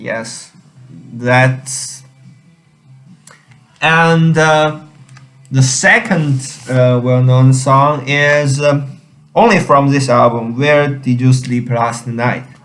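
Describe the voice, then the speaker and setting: Music plays behind a man of medium pitch with fairly even intonation. He talks at a very slow pace with long, frequent pauses. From China. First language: Chinese. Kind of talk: casual talk to camera. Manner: hesitant, many fillers.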